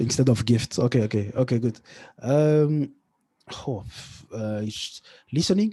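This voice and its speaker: In a French accent, a man speaks at a moderate pace with a medium pitch, ordinary pitch variation and a dark, mellow tone against a quiet background. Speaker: tech entrepreneur and podcaster. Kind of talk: interview. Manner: halting, many fillers and restarts.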